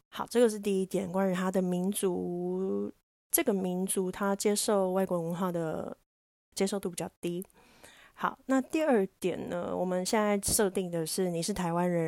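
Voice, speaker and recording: This woman has a dark, mellow tone at medium pitch with fairly even intonation, on a very clean recording with a silent background. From Taiwan. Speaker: podcast host and diving instructor. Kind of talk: casual solo talk.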